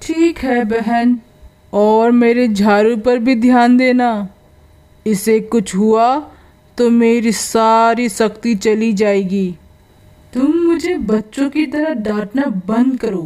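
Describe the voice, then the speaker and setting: A cartoonish character voice moves at a very slow pace. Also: woman, fairly high pitch for a woman. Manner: chatty, boastful.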